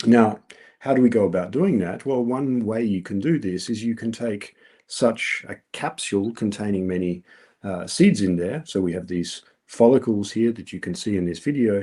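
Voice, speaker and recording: A man's fairly low, dark, mellow voice moves at a moderate pace with ordinary pitch variation against a quiet background. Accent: Australian. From Australia. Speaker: researcher presenting at a colloquium. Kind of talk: conference talk. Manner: many filler words (um, uh).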